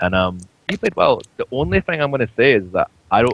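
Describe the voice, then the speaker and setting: This is a man's voice. He has a Scottish accent. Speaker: esports coach and pundit. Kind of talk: casual chat.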